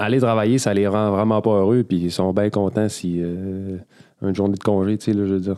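A man with a Quebec accent speaks at a fairly quick pace in a fairly low pitch. His tone is dark and mellow, his intonation monotone and flat. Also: very clean recording, silent background. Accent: Québécois French. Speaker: podcast host, gym coach. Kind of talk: casual chat.

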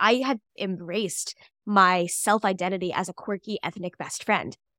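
A woman with an American accent speaks at a moderate pace and a medium pitch, on a very clean recording with a silent background. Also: dry, close sound with no echo. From US Midwest, St. Louis, Missouri. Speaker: composer and lyricist. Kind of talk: podcast interview.

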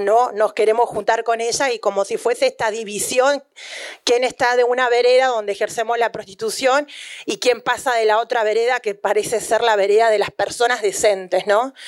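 At a moderate pace, a woman talks in a plain, everyday voice with fairly even intonation. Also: fairly high pitch for a woman. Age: 30s. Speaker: sex workers' union leader and author. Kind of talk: book presentation talk.

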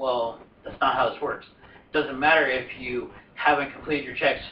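With noticeable background noise behind him, a man keeps his intonation fairly even. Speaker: podcast host. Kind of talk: casual chat.

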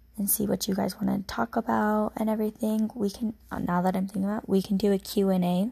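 Speaking very fast, a woman with a medium pitch and a dark, mellow tone sounds somewhat breathy, keeping fairly even intonation and very even loudness. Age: 20s. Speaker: solo podcaster. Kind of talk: casual monologue. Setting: her bedroom. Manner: rambling, filler-heavy.

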